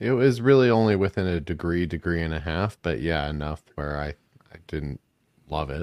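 The man's voice is very deep and low, with lively intonation at a moderate pace. The sound is dry and close with no echo, over a quiet background. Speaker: reptile breeder podcast co-host. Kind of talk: casual chat.

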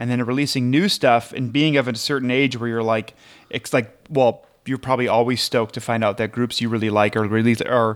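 A man with an American accent speaks at a moderate pace and medium pitch, with ordinary pitch variation. The recording is very clean, with a silent background. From US Midwest. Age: 30s. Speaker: podcaster guest. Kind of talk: casual chat.

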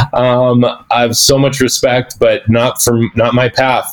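This is a man with a normal speaking voice at a medium pitch. He talks at a fairly slow pace. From southern Alberta, Canada (Lethbridge); finished high school in Las Vegas. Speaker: food business founder. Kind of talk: interview.

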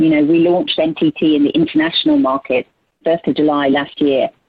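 A woman talks at a moderate pace. She speaks with a British accent. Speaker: marketing executive. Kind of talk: panel discussion. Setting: video call.

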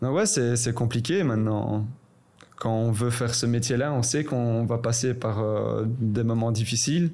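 The man's voice has a dark, mellow tone, very even loudness, and ordinary pitch variation. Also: medium pitch for a man, fairly slow pace. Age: 20s. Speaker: professional footballer. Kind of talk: casual chat.

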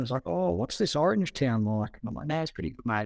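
The speaker talks at a very fast pace with an Australian accent. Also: man. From New South Wales Southern Highlands, Australia. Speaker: former livestock marketing worker, podcast co-host. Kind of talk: casual chat.

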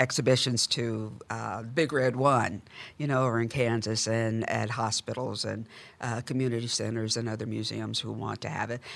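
A woman speaks with a very deep, low pitch at a moderate pace. Vocal fry runs through her voice. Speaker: museum director. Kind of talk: podcast interview.

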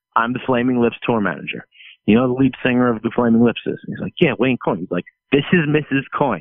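This man has an ordinary speaking voice with a medium pitch. He talks at a fairly quick pace with ordinary pitch variation. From New Jersey and St. Louis. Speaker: touring guitarist. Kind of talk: casual chat.

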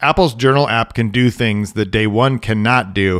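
This is an unremarkable speaking voice: a man at a medium pitch and moderate pace with ordinary pitch variation. The sound is dry and close with no echo, on a very clean recording with a silent background. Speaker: podcast co-host and tech writer. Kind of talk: casual tech podcast chat.

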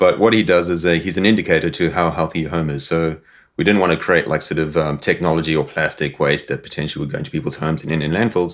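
Talking very fast, a man uses a very deep, low pitch with ordinary pitch variation. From Zimbabwe and rural South Africa. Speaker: advertising creative. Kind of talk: interview.

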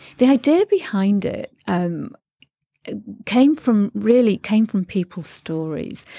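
A woman with a Mancunian accent, medium in pitch, dark and mellow in tone, with lively intonation at a very slow pace, in a very clean, dry and close recording with no echo and a silent background. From northern England (Stretford, Manchester). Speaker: podcast host, expat. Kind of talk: interview. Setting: studio.

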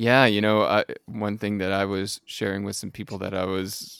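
With a fairly low pitch and an unremarkable speaking voice, a man speaks at a moderate pace in a dry, close sound with no echo, the recording very clean and the background silent. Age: 40s. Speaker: podcast host, coach. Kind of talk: interview; scripted intro.

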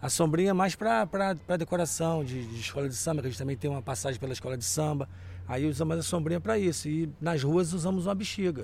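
Very fast and somewhat breathy, a man talks at a fairly high pitch. His pitch makes very wide swings. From Rio de Janeiro, Brazil (Deodoro). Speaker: carnival group founder. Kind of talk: casual interview.

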